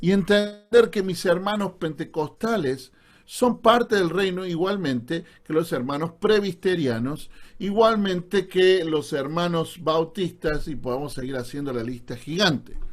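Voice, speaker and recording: With lively intonation, a man speaks at a fairly slow pace in a high pitch. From Argentina, Córdoba. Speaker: pastor. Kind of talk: online Bible class lecture. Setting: Zoom video call. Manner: sounds serious, stern.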